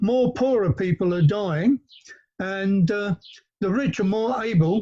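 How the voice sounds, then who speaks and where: Talking at a fairly slow pace, a man with a London accent uses a high pitch and lively intonation, in a dry, close sound with no echo. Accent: southern English, London. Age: 70s. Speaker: panelist, land value tax campaigner. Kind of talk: panel talk. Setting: outdoors in garden, remote call. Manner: hesitant, many filler words.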